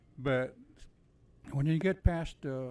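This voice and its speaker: This man speaks with a Texan accent at a medium pitch. Pitch variation is ordinary, and the recording is very clean with a silent background. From Texas, Corpus Christi. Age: 70s. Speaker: army veteran. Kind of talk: casual interview chat. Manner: halting, many fillers.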